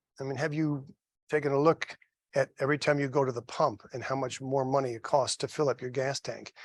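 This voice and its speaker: Fairly high male pitch at a moderate pace, dry and close with no echo, against a quiet background. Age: 60s. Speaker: mortgage loan officer. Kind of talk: educational seminar. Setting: live seminar with in-person audience. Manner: animated, conversational.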